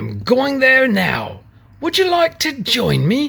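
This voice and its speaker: A high-pitched, put-on character voice moves at a fairly slow pace. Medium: read story.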